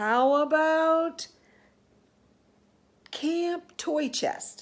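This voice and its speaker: A woman puts on a character voice at an extremely high pitch. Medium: read story.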